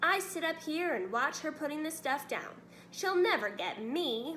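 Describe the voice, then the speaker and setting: Putting on a shrill, high-pitched character voice, a woman speaks at a moderate pace over clear background noise. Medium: read story. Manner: rude, indignant.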